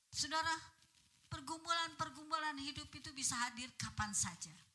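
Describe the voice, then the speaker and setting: A bright, sharp tone marks this woman's speech. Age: 70s. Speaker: preacher. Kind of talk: sermon. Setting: church. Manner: animated.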